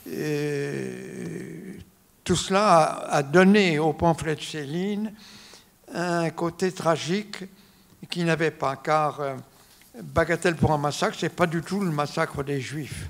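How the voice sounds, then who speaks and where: The speech comes at a very slow pace, with long, frequent pauses and fairly even intonation. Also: man, fairly high pitch for a man. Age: 90s. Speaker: lawyer and biographer. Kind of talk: public talk interview. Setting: auditorium with audience. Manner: halting with many hesitations.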